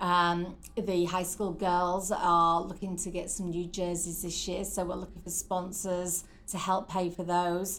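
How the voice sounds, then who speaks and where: Her pitch fairly low, a woman talks at a fairly slow pace in a monotone, flat intonation. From northeast England. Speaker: rugby club president. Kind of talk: casual interview chat. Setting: podcast interview.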